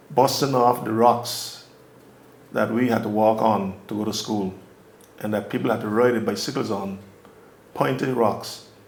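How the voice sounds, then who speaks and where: With an Anguillian accent, a man of medium pitch talks at a moderate pace with ordinary pitch variation and long, frequent pauses, in a room with audible echo. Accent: Anguillian Caribbean English. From Anguilla. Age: 70s. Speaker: community elder. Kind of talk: oral history interview. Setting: on location.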